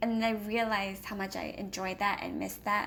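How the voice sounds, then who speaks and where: A woman is speaking. Her pace is fairly slow. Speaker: homeschooling parent and video blogger. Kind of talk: casual book review vlog. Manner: hesitant with many fillers.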